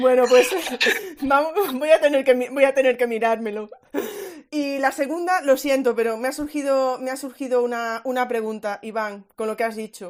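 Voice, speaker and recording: With a slight Galician accent, a woman speaks at a moderate pace in a high voice with ordinary pitch variation. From Galicia, Spain. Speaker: education podcast host. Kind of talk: online panel discussion. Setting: Twitter Space audio chat. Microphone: variable volume, low quality recording.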